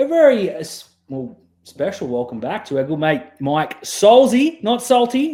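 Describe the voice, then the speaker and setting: Speaking slowly-ish with an Australian accent, a high-pitched man makes very wide pitch swings and big swings in loudness at a fairly slow pace. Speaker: podcast host. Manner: casual, relaxed.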